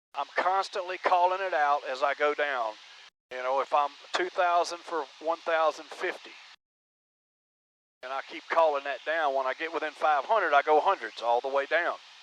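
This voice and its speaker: A man talks at a moderate pace with a fairly high pitch and ordinary pitch variation. It is a plain, everyday voice. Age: 60s. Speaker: private pilot video creator. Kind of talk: casual instructional talk. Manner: casual, folksy.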